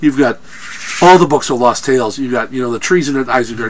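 A man's voice amid noticeable background noise. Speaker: film reviewer. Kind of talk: movie review rant. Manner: animated; halting.

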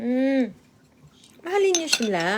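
A woman speaks at a high pitch against noticeable background noise. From Visayas, Philippines. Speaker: vlogger. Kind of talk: casual live stream, reading viewer comments while eating. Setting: live stream at home.

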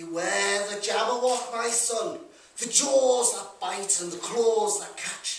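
With a Liverpool accent, the speaker talks at a very slow pace amid light background noise and audible room echo. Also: man. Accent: Liverpool (Scouse). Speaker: performer. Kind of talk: poetry reading. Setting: live venue. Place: hall. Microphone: camera far.

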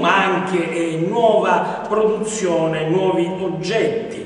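A man's high-pitched voice at a very slow pace, ordinary pitch variation, and strong room echo. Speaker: TV show host. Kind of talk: presenter introduction. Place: workshop.

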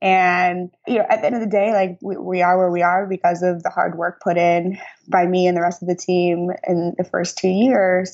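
With an American accent, a woman at a medium pitch talks at a moderate pace in a monotone, flat intonation, with hardly any pauses. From US Midwest, St. Louis. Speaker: media entrepreneur. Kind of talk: interview.

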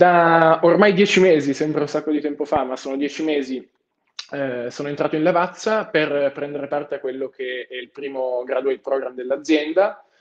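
An unremarkable speaking voice comes through at a moderate pace with ordinary pitch variation against a quiet background. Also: man, fairly high pitch for a man. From Turin, Italy. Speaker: finance graduate trainee. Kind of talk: webinar talk. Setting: video call. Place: office. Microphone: earbuds.

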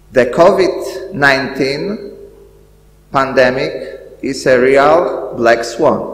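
A man at a very slow pace, lively in his intonation, with audible room echo. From Poland. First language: Polish. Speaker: school director; event host. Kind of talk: welcoming speech. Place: hall. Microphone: podium.

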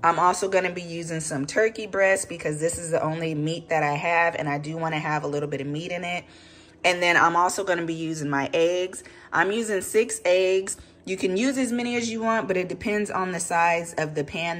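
A normal speaking voice from a woman, fairly low in pitch, at a fairly quick pace with ordinary pitch variation. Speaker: home cook vlogger. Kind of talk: cooking tutorial. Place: kitchen. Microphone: phone near.

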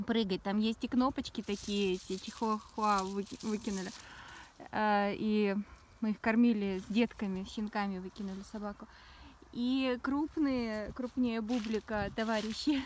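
A woman's fairly high voice, fairly slow, with long, frequent pauses, a dry sound with no echo, and light background noise. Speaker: spiritual blogger. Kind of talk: casual monologue vlog. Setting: outdoors. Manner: animated, rambling. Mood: reflective, spiritual. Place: open country. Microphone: phone near.

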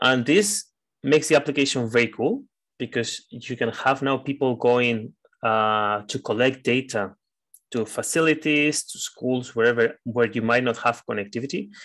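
A man with a plain, everyday voice speaks at a moderate pace and medium pitch. His pitch varies in an ordinary way over a quiet background. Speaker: trainer. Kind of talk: training lecture. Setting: online video session.

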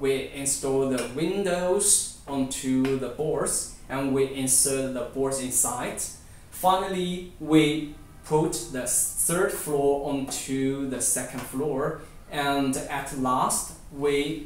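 A man speaks at a very slow pace with fairly even intonation. Audible room echo and light background noise surround him. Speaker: presenter. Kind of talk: product demonstration tutorial. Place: home room. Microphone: camera far.

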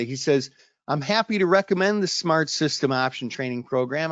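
A man with a plain, everyday voice speaks at a fairly quick pace, his fairly high pitch carried by lively intonation. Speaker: options trading educator. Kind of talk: sales pitch. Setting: online webinar.

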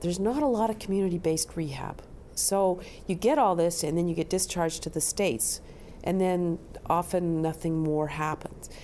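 A woman with a Canadian accent talks at a moderate pace, her pitch fairly low with ordinary variation. She leaves long, frequent pauses. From Canada. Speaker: pediatric brain injury physician. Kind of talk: interview answer. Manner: hesitant with frequent ums.

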